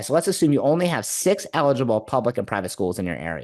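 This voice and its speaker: Animated in tone, a man with a medium pitch and vocal fry speaks with very wide pitch swings. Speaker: marketing consultant for martial arts schools. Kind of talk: webinar presentation. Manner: fast.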